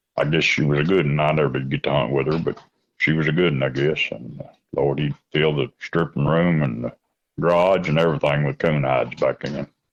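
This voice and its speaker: Talking at a fairly quick pace, a man with a very deep, low pitch uses fairly even intonation and vocal fry. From Kentucky, Mount Sterling. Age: 60s. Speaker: coon hunter. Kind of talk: casual interview. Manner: halting, many fillers.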